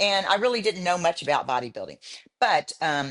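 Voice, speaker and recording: A woman speaks with a fairly low pitch and lively intonation. The background is quiet. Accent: Texan. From Houston, Texas. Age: 70s. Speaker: bodybuilder. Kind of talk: interview. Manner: halting.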